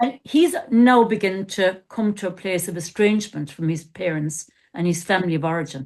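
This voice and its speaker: Against a quiet background, a woman with a normal speaking voice talks at a moderate pace and medium pitch with lively intonation. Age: 60s. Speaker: coach and former therapist. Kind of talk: casual podcast discussion.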